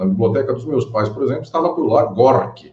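The speaker is a man with a medium pitch. His voice swings across a very wide pitch range. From Brazil, interior of São Paulo state (Catanduva). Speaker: law professor and lawyer. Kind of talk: interview on a live-streamed podcast. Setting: live video stream.

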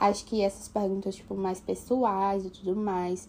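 Speaking at a moderate pace, a woman uses an unremarkable speaking voice of medium pitch. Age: 20s. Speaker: architecture student, host's sister. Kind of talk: casual chat.

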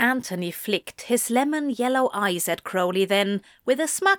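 Lively intonation over plain reading aloud

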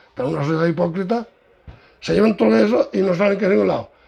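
A man talks very fast with noticeable noise in the background. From Andalusia, Córdoba province. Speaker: parish priest. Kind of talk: interview. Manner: animated.

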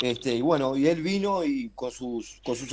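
This man's voice sits fairly high in pitch and carries a dark, mellow tone. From Uruguay. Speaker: basketball radio presenter. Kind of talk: casual chat.

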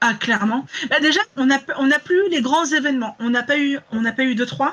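The tone is bright and sharp, with ordinary pitch variation. Delivery comes at a fairly quick pace.

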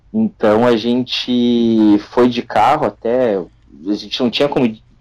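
A man speaks with a Gaúcho Brazilian accent. His pitch sits in the medium range. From Rio Grande do Sul, Brazil (São Leopoldo). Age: 30s. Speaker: football fan activist. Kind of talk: casual chat.

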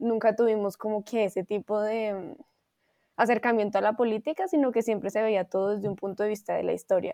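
A woman's fairly high-pitched, dark and mellow voice at a moderate pace, fairly even intonation, dry and close with no echo, quiet background. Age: 20s. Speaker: dancer, university dance student. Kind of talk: interview conversation.

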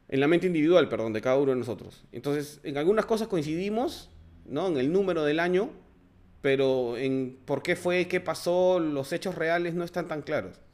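Captured in a very clean recording with a silent background, the voice moves at a moderate pace with ordinary pitch variation. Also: man, fairly high pitch for a man. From Peru. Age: 40s. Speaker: political commentary podcaster. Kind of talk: solo monologue commentary. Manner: halting, many fillers.

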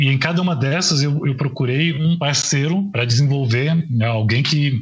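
A normal speaking voice from a man, moderately paced, its pitch varying in an ordinary way. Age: 40s. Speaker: journalist and author. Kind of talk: casual interview.

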